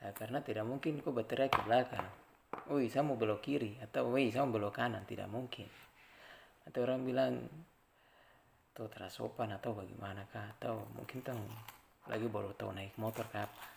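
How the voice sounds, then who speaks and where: Speaking at a fairly quick pace yet with long, frequent pauses, a medium-pitched man uses fairly even intonation and vocal fry. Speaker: traffic safety community member. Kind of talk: informal educational vlog. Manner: conversational, with hesitations.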